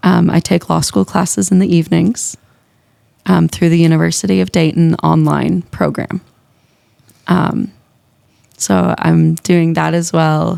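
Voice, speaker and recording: With a slight Minnesota accent, a woman speaks at a fairly slow pace, leaving long, frequent pauses and keeping her loudness very even. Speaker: music teacher. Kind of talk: casual interview.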